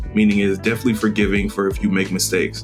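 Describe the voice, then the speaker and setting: Music plays in the background as a man talks at a fairly low pitch. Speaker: film photographer. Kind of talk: casual review talk to camera.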